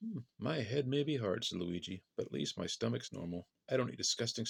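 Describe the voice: Plain reading aloud, lively in intonation, over quiet surroundings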